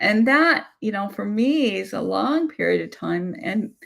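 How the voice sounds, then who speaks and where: Very slowly, a woman speaks in a very clean recording with a silent background. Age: 60s. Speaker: abuse survivor and channel host. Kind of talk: live-stream Q&A discussion. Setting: YouTube live stream. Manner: halting, many fillers.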